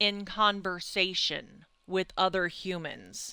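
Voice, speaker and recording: A woman with a slight country accent speaks at a very slow pace. Her tone is bright and sharp, on a very clean recording with a silent background. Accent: slight country twang. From Indiana and Kentucky, US Midwest. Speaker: streamer. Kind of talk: casual chat. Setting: live stream. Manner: rambling, halting.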